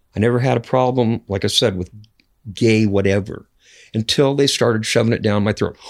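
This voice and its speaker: A plain, everyday voice with an American accent moves at a fairly quick pace with fairly even intonation in a very clean recording with a silent background. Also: man, medium pitch for a man. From US Pacific Northwest, north central Washington. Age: 60s. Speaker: podcast guest. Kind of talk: casual interview. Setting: in person, Great Falls, Montana.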